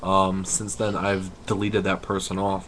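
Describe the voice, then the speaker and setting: Noticeable background noise sits under a man speaking at a moderate pace in a very deep, low voice with monotone, flat intonation. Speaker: wrestling vlogger. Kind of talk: casual webcam commentary. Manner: halting, forcing words out.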